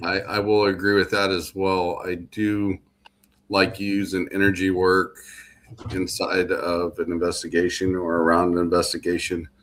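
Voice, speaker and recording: This man, with a Midwestern US accent, speaks at a moderate pace. His voice is very deep and low, with monotone, flat intonation. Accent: US Midwest. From Illinois, Galesburg. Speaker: podcast host. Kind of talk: casual panel chat.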